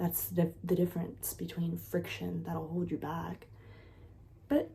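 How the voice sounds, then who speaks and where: The voice is quiet, with an animated tone and a moderate pace. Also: woman. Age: 30s. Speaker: content creator and nanny. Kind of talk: casual vlog monologue. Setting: at home with sleeping child.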